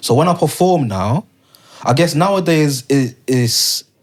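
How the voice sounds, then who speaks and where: A man speaks with a London accent and ordinary pitch variation. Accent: London multicultural English. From London, via Leicester. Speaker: poet. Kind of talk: casual interview chat. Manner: rhythmic, poem-like speech.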